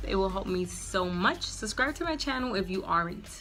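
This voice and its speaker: Lively intonation at a moderate pace comes through audible room echo, with music in the background. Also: woman. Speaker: beauty vlogger. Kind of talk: casual vlog talk.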